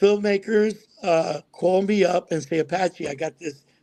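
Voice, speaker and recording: With an American accent, this man talks in a high pitch and ordinary pitch variation. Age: 70s. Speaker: actor. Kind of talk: casual chat.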